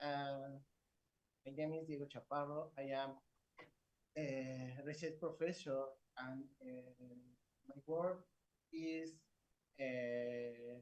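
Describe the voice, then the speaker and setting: The delivery is very slow, with fairly even intonation. Long pauses come often. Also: man, fairly high pitch for a man. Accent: Spanish. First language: Spanish. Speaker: research professor. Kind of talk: conference presentation. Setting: conference. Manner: halting.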